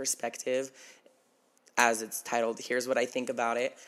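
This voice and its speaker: A medium-pitched man's voice with an American accent. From Nevada, small town. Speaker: podcaster. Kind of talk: casual monologue.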